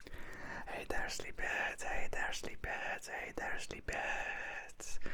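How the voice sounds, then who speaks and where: A man whispering at a very slow pace amid noticeable background noise. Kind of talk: ASMR whispered ramble to camera. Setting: studio, close microphone. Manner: whispered, soft-spoken, slow.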